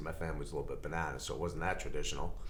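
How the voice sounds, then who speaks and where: A man speaks in an American accent. Room echo is audible around him. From Long Island, New York. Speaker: TV writer and producer. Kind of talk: casual interview chat.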